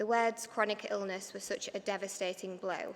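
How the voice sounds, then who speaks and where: The voice has a bright, sharp tone with a Yorkshire accent. Its intonation is monotone and flat. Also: woman. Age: 30s. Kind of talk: prepared speech read from notes.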